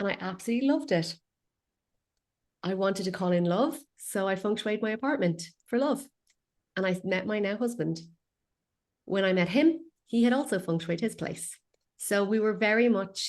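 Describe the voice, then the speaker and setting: With an Irish accent and lively intonation, a woman at a medium pitch talks at a moderate pace, leaving long, frequent pauses, over a quiet background. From west coast of Ireland. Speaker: feng shui consultant. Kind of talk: interview.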